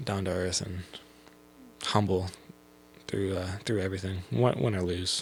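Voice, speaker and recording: A man speaks fairly slowly with a very deep, low, somewhat breathy voice. Long pauses come often. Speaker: college student athlete. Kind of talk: casual chat. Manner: halting; talkative.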